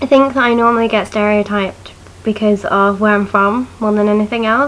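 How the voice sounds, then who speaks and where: Noticeable background noise behind a woman at medium pitch with fairly even intonation. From Essex, England. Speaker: student vlogger. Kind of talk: casual vlog monologue. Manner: chatty.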